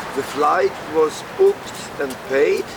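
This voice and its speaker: There is noticeable background noise as a man talks with a German accent. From Germany (Würzburg). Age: 60s. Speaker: homeless man telling his story. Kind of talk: street interview testimony. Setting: outdoors on a street.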